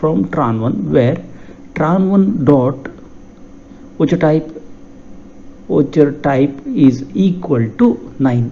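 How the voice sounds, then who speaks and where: There is noticeable background noise as a man talks at a very slow pace with long, frequent pauses. His pitch is fairly high and his intonation lively. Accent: Karnataka. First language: Kannada. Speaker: software tutorial instructor. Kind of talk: tutorial.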